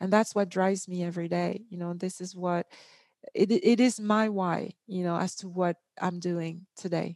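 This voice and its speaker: A woman with a non-native accent speaks at a moderate pace in a monotone, flat way, the sound dry and close with no echo. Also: medium pitch for a woman. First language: not English. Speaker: entrepreneur and author. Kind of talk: interview. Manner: halting, many fillers.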